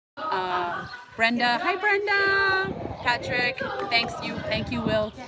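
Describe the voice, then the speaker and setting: A woman speaks at a high pitch with very wide pitch swings. Room echo is audible. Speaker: travel vlogger. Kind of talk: live stream chat. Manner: fast; excitable.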